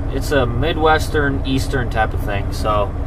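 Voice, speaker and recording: A man talks fairly slowly while noticeable noise carries on in the background. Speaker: truck driver vlogger. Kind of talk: casual vlog chat. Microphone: phone near.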